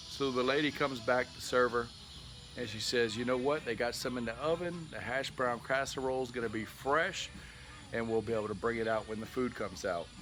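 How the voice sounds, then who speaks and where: A man talks at a medium pitch and fairly quick pace, with ordinary pitch variation, amid noticeable background noise. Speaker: YouTuber, cigar reviewer. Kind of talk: casual storytelling. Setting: outdoors, backyard. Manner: loud.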